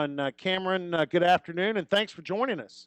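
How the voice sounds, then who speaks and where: Ordinary pitch variation in a man's high voice. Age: 60s. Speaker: sports radio host. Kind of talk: radio interview.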